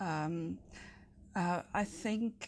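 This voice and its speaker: Recorded very cleanly against a silent background, a woman speaks in a somewhat breathy voice with ordinary pitch variation. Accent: German. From Germany. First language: German. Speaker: city council candidate. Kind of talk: interview. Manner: hesitant, many fillers.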